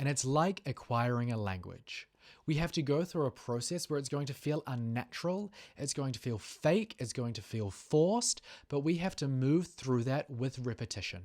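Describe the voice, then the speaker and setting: In a New Zealand accent, the speaker keeps a moderate pace. The recording is very clean, with a silent background. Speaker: sales trainer. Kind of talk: tutorial.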